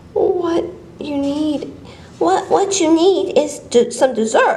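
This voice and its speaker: A woman speaks in a put-on character voice with an extremely high pitch. She goes at a fairly slow pace over clear background noise. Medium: read story. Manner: chirpy.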